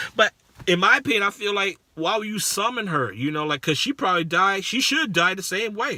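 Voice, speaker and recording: A man talks at a fairly quick pace in a raised, projected voice with a high pitch. His tone is animated and his intonation lively. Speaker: movie reviewer. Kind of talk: casual vlog review. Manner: halting, stuttering.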